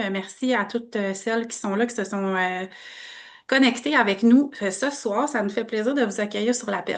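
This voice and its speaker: The speaker is a woman with a Canadian French accent. Her pitch is fairly high, with ordinary variation. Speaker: network marketing presenter. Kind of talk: online business opportunity presentation.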